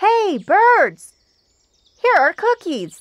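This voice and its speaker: This put-on character voice shouts in a squeaky, extremely high pitch. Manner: shouting loudly.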